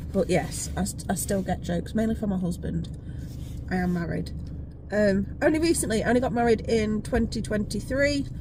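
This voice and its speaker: Audible room echo and noticeable background noise surround speech delivered fairly quickly. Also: woman. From England, Leicester. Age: 40s. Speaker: vlogger and school family support manager. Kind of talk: casual vlog monologue. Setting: in a car.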